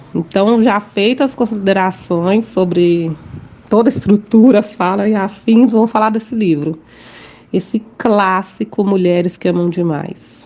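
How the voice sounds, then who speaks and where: A woman's medium-pitched voice, with ordinary pitch variation, proceeds at a fairly slow pace. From Minas Gerais, Brazil. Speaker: podcast host, holistic therapist. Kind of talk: casual monologue. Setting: home recording.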